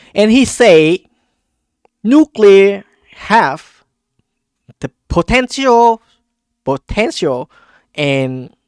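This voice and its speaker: A man's high voice with a non-native accent, very wide pitch swings, a very slow pace and long, frequent pauses, in a dry, close sound with no echo. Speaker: politics and economy commentator. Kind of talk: casual explainer talk to camera. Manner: hesitant, many fillers.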